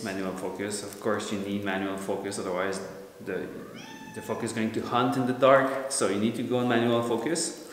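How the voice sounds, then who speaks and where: A man speaks with a French Canadian accent. Noticeable background noise runs behind him. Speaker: light-painting photographer. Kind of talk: tutorial explanation.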